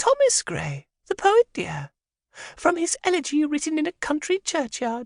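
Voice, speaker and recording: A man puts on a squeaky character voice at an extremely high pitch. He keeps a moderate pace. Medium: read story. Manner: gentle, fond, calls everyone dear.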